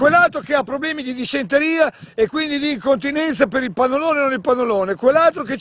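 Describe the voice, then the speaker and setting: A man speaks at an extremely high pitch, with ordinary pitch variation. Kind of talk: casual rant to camera. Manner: exasperated, ranting.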